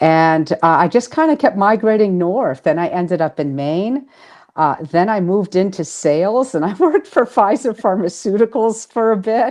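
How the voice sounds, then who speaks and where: A Boston accent at a moderate pace, with very wide pitch swings against a quiet background. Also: woman, medium pitch for a woman. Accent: Boston accent, still noticeable. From Boston area, Massachusetts. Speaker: author and spiritual healer. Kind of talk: interview.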